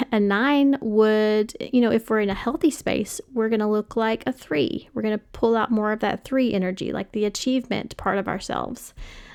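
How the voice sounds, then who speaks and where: A woman with an American accent speaks at a moderate pace. Her pitch is fairly high, with ordinary pitch variation. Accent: Kentucky accent slips out sometimes. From Western Kentucky, US. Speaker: podcast host. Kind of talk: podcast monologue. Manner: casual, many fillers.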